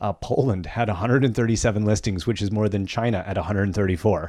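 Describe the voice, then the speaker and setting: At a fairly quick pace, a man with an unremarkable speaking voice talks in a fairly low pitch with fairly even intonation. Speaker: podcast host. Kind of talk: casual banter podcast. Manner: joking, playful.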